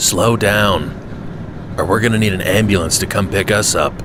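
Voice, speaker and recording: Over loud background noise, a man puts on a gruff character voice at a fairly low pitch and a moderate pace. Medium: read story. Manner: gruff, folksy.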